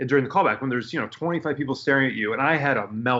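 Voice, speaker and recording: In an American accent, a man of medium pitch uses a normal speaking voice with fairly even intonation. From Detroit area, US. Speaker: actor. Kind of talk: casual chat.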